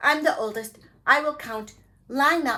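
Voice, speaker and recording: A put-on character voice, pitched high, delivered at a moderate pace. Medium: read story.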